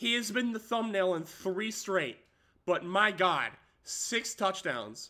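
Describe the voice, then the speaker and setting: A raised, projected voice with a bright, sharp tone moves at a very slow pace in a very clean recording with a silent background. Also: man, high pitch for a man, ordinary pitch variation. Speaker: gaming streamer. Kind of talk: gameplay commentary. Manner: animated.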